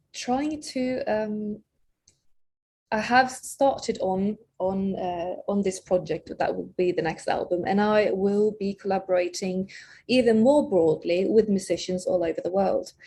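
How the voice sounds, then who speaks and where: Somewhat breathy and dark, mellow in tone, a woman speaks at a fairly slow pace in a fairly high pitch with lively intonation. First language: not English. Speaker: singer-songwriter. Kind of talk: interview. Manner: halting, many fillers and repeated words.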